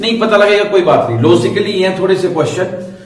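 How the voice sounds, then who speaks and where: A man with a high pitch speaks amid audible room echo and noticeable background noise. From India. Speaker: maths teacher. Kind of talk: lecture. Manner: repetitive, conversational with Hindi-English code-switching.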